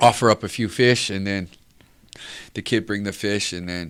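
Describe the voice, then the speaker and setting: A man with a Samoan accent speaks at a fairly low pitch. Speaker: reggae singer. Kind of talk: interview answer.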